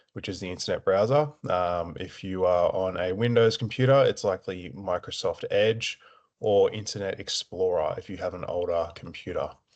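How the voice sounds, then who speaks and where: There is no noise behind the speaker. He is a man with an Australian accent. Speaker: support officer at a veterans' families charity. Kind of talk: tutorial. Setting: screen-share recording. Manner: slow, deliberate pacing; hesitant, many filler words.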